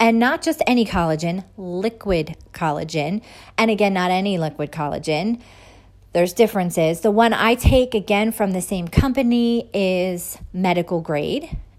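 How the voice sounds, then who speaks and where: This woman has an unremarkable speaking voice at a medium pitch, with lively intonation and a moderate pace. The recording is very clean, with a silent background. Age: 40s. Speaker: podcast host, holistic health. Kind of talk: solo podcast monologue.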